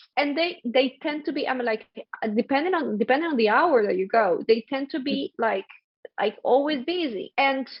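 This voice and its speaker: A high-pitched woman with a Spanish accent, lively intonation and a moderate pace. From Colombia. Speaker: podcast host. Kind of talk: casual chat. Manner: animated.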